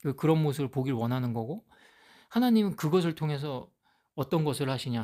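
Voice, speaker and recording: A man talks at a fairly high pitch. The background is silent and the recording very clean. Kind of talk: Bible teaching monologue. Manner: halting, with fillers.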